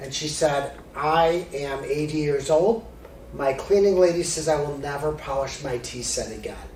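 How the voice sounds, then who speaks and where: Over noticeable background noise and audible room echo, a man with an American accent talks at a moderate pace in a fairly high pitch. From Chicago area, US Midwest. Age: 50s. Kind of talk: presentation.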